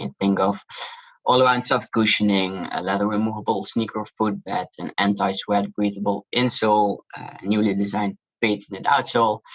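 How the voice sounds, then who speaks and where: A man talks with a Dutch accent at a fairly low pitch. His moderate pace comes with fairly even intonation. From Netherlands. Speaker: shoe brand founder. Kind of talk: interview.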